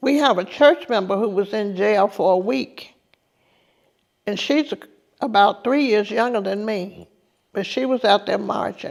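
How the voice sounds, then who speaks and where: A woman at a fairly slow pace with long, frequent pauses, medium pitch, ordinary pitch variation, and an Alabama accent. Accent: Southern US (Alabama). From US South. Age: 70s. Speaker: civil rights veteran and tour guide. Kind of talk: testimony.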